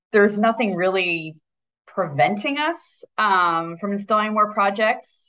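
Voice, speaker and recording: A woman talks at a fairly slow pace and medium pitch, with lively intonation. She has a normal speaking voice. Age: 40s. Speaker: solar energy company executive. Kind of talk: interview.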